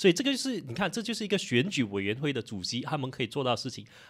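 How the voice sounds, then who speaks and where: Against a quiet background, a man speaks at a very fast pace and fairly high pitch, with very wide pitch swings. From Malaysia. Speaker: political commentary YouTuber. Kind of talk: casual chat. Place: studio. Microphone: studio mic.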